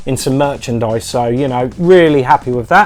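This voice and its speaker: With music in the background, a man in a rural Suffolk accent talks at a fairly quick pace with ordinary pitch variation. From England, Suffolk. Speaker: retro gaming YouTuber. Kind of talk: casual vlog. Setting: home video filmed on iPad. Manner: loud; hesitant fillers. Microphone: new microphone, distorts a little.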